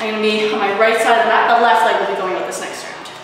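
A woman is heard with strong room echo and noticeable background noise. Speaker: fitness instructor. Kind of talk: workout instruction cues. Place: gym.

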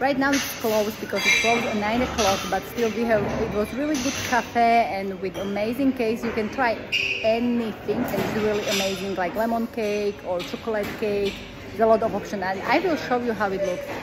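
A woman speaks at a fairly quick pace. Loud background noise runs behind her. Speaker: travel vlogger. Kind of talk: casual vlog chat. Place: cafe. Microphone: phone near.

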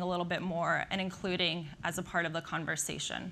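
Speaking at a fairly quick pace, a woman with an American accent has a bright, sharp tone. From Slovakia, raised in the US. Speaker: nuclear energy industry professional. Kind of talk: conference talk. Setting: stage with audience. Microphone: lapel.

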